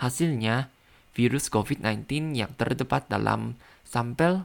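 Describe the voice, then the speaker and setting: The very slow delivery has ordinary pitch variation, captured in a very clean recording with a silent background. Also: man. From Thailand. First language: Thai (speaking Indonesian). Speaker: language learner podcaster. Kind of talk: language practice monologue; reading aloud. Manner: halting.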